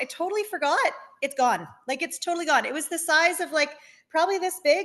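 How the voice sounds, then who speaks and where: This woman talks at a fairly quick pace, her pitch extremely high and her intonation lively. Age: 40s. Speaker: dental hygienist sharing a testimonial. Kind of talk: testimony. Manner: fast.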